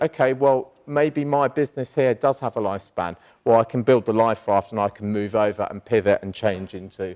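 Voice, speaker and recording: A man with a British accent at a fairly quick pace, ordinary pitch variation, dry, close sound with no echo and a quiet background. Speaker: entrepreneur, conference speaker. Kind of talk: conference panel talk.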